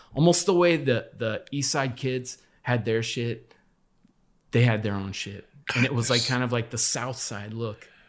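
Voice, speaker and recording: Using a normal speaking voice, a man talks fairly slowly at a medium pitch with ordinary pitch variation. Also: very clean recording, silent background. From Los Angeles, US. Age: 50s. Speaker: former graffiti artist. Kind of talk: casual chat.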